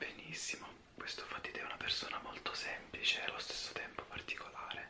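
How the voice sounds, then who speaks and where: The voice is whispering. It moves at a fairly quick pace. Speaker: ASMR interview host. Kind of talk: ASMR interview questions. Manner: whispered.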